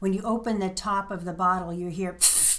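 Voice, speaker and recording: Her pitch sits in the medium range for a woman with ordinary variation, and she has an ordinary speaking voice. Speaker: friend of host, native speaker guest. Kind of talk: casual conversation, explaining words.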